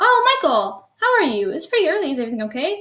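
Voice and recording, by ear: Fast and high, a woman performs a put-on character voice with big pitch swings. Her tone is bright and sharp.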